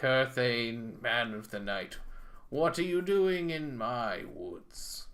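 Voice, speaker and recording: The speaker is a man putting on a character voice. His delivery is very slow. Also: medium pitch for a man. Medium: solo performance. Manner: loud, territorial.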